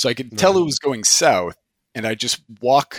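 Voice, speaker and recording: The recording of this man's voice is very clean, and the background is silent. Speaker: podcast roundtable guest, tabletop game player.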